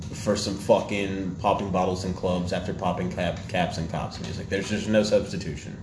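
At a moderate pace and with fairly even intonation, a man with a very deep, low pitch talks over noticeable background noise. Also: hardly any pauses. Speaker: podcast host. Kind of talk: casual banter podcast chat. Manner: joking, sarcastic.

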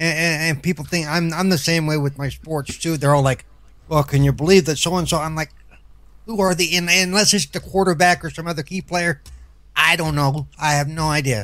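A man's fairly high voice, an ordinary speaking voice, with fairly even intonation at a fairly quick pace. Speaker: co-host. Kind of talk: casual group chat.

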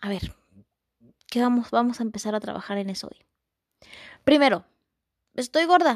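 A high-pitched woman speaks with lively intonation and big swings in loudness. Long pauses come often. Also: moderate pace. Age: 20s. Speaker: podcast host, visually impaired musician. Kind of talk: motivational talk. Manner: repetitive, warm.

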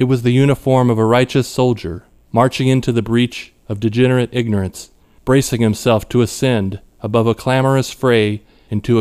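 This man has an ordinary speaking voice at a medium pitch, talking at a moderate pace with fairly even intonation. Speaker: audiobook narrator. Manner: measured, formal, deadpan-literate delivery with ornate vocabulary.

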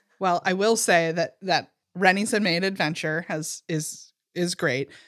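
In a very clean, dry, close recording with no echo and a silent background, a woman speaks in a normal speaking voice at a fairly low pitch with fairly even intonation. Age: 40s. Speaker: podcast co-host. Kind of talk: casual chat.

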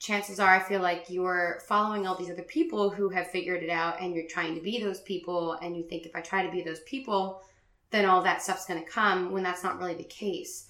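Bright and sharp in tone, a woman with an American accent talks at a fairly quick pace at a medium pitch with ordinary pitch variation. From Richmond, Virginia, US. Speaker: graphic designer and business owner. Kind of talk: casual interview.

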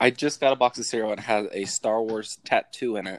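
An ordinary speaking voice from a man, fairly low in pitch with fairly even intonation, at a moderate pace, dry and close with no echo. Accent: American. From US Midwest (Ohio). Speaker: podcast host. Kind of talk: casual chat.

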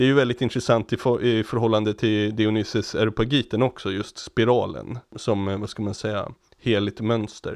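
With hardly any pauses, a man talks at a moderate pace, his medium pitch set in fairly even intonation. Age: 30s. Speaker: podcast co-host. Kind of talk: casual chat. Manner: halting.

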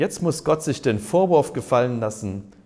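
Vocal fry runs through this voice as it moves at a moderate pace. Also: man. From East Germany. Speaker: pastor. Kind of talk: sermon. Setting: care home cafeteria.

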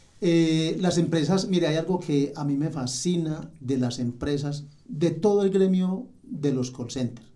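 A man's fairly high yet dark, mellow voice at a very slow pace, with audible room echo. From Colombia, Manizales. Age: 60s. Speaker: technical support agent. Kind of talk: podcast interview.

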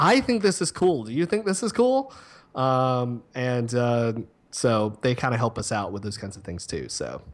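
A man with a plain, everyday voice and a medium pitch speaks at a moderate pace with lively intonation and big swings in loudness, on a very clean recording with a silent background. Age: 30s. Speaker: university social media and digital marketing specialist. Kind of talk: casual interview chat.

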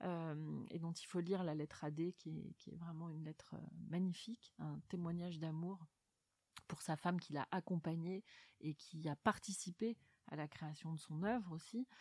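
The sound is dry and close with no echo as a woman speaks at a fairly slow pace. Her pitch is fairly low and her intonation fairly even. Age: 40s. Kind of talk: literary interview. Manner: halting, frequent word repetitions and fillers.

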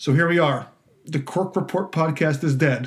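A man's somewhat breathy voice holds fairly even intonation. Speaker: wine podcast host and writer. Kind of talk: solo podcast trailer monologue. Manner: halting, filler-heavy, self-deprecating.

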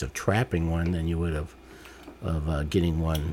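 A man with a very deep, low pitch and an American accent. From Detroit, Michigan. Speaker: retired firefighter and medic, hunter. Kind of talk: casual chat.

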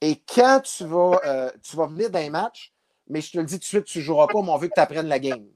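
The recording is dry and close with no echo, as a man with a high pitch talks at a moderate pace with ordinary pitch variation. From Abitibi, Quebec. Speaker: former baseball player. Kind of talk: interview storytelling.

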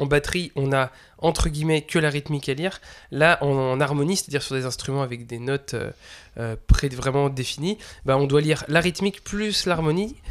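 The pace here is fairly quick, with ordinary pitch variation, in an ordinary speaking voice. Everything sits on a very clean recording with a silent background. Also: man. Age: 20s. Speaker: drum teacher and podcast host. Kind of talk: casual chat.

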